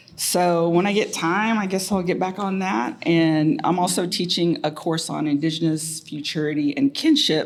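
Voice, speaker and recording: A woman with an American accent speaks in a normal speaking voice at a fairly slow pace. Her pitch is fairly low. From Muscogee Nation, Oklahoma. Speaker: professor, department chair. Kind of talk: panel self-introduction. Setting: university room with audience and mics.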